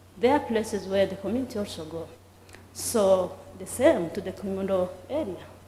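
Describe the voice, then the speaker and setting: Her intonation is lively as this woman talks at a moderate pace. Room echo is audible. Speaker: heritage site official. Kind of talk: conference presentation. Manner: halting.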